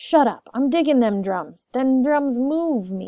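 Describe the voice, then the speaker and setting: A woman shouts in a put-on character voice at a high pitch. Her pace is fairly slow. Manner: dramatic shout.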